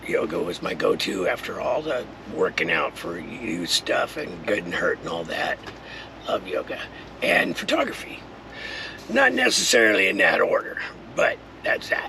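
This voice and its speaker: Long, frequent pauses mark a man's moderately paced speech. Background noise is noticeable behind him. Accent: American. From Southern California. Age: 60s. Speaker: retired contractor and vlogger. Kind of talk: personal vlog monologue. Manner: casual, loosely scripted.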